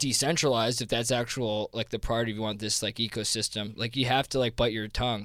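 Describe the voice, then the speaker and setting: A man with an American accent, medium pitch, a fairly quick pace and fairly even intonation. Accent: New Jersey accent, comes out on some words. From New Jersey. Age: 20s. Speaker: crypto investment fund founder. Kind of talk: casual interview. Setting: podcast recording in New York. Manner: hesitant, many fillers and restarts.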